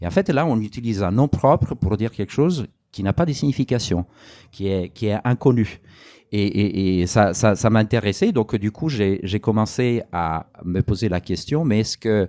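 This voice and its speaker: With an Italian accent, a man speaks at a moderate pace in a fairly low pitch, his tone dark and mellow, with ordinary pitch variation. The recording is very clean with a silent background and a dry, close sound with no echo. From Italy. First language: Italian (speaking French). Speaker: anthropologist author. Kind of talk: public talk interview. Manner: halting, many hesitations.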